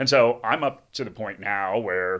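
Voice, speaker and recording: On a very clean recording with a silent background, a man with an American accent talks at a fairly slow pace in a bright, sharp tone with fairly even intonation. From United States. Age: 40s. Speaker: investment analyst and podcaster. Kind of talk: podcast interview. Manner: casual, hesitant with repeated words.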